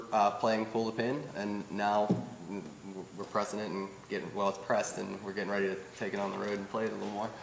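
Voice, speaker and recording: A man at a very fast pace in a central Pennsylvania accent, with audible room echo and noticeable background noise. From central Pennsylvania (Altoona). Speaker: rock band musician. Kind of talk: casual interview.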